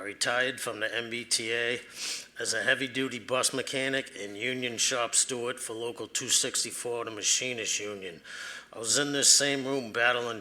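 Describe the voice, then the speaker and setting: A man with a Boston accent talks at a moderate pace, his bright, sharp tone at medium pitch delivered in flat, monotone intonation. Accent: Boston-area. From eastern Massachusetts (Randolph). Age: 60s. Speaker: retired bus mechanic giving public comment. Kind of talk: public comment at a board meeting. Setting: public meeting room.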